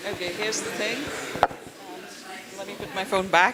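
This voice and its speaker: A raised, projected voice carries through audible room echo and noticeable background noise. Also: woman. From India (Delhi). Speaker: architecture professor. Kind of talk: interactive lecture. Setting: auditorium with audience. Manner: loud; animated.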